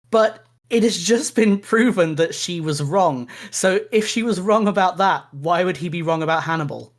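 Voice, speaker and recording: The recording is very clean, with a silent background. The speaker talks in a southern English accent. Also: moderate pace. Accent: generic southern English. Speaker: podcast co-host. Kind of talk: casual chat.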